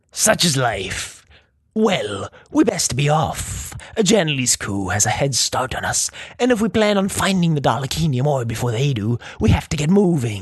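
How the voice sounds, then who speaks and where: Putting on a character voice, a man speaks at a moderate pace, pitched fairly high and swinging very widely in pitch. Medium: read story.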